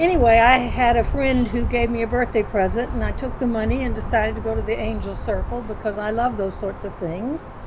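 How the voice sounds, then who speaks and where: A woman talks at a fairly quick pace with hardly any pauses, her pitch fairly high and its variation ordinary. Noticeable background noise sits behind her. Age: 80s+. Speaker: guest, friend. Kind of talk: casual chat.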